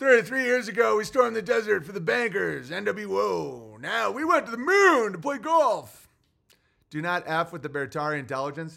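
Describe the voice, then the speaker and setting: In a put-on character voice, a man sounds gravelly and gruff at a high pitch, with very wide pitch swings and big swings in loudness on a very clean recording with a silent background. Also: moderate pace. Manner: gruff, tough-guy.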